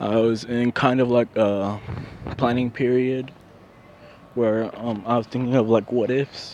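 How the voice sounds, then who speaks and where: Speaking in a flat monotone, a man talks at a fairly slow pace with a medium pitch. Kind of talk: casual fan-fiction storytelling to camera. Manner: halting, stuttering, rambling.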